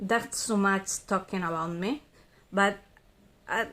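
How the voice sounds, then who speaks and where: A woman with a Spanish accent on a very clean recording with a silent background. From Spain. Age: 30s. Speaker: vlogger. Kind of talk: casual monologue. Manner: halting, hesitant.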